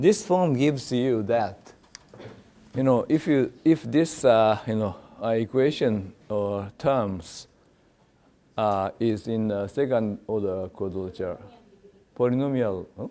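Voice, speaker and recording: On a very clean recording with a silent background, a man with a Japanese accent speaks at a very slow pace with long, frequent pauses, his dark, mellow tone at medium pitch with ordinary pitch variation. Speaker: professor. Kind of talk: lecture. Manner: halting, many fillers.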